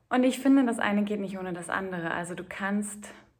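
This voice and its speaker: A woman speaks at a fairly quick pace. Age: 30s. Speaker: podcaster and spiritual coach. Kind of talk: solo podcast monologue.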